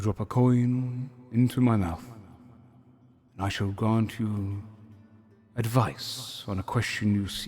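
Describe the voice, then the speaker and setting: A man uses a put-on character voice at a medium pitch. He talks at a very slow pace. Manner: formal, ceremonial, wish-granting.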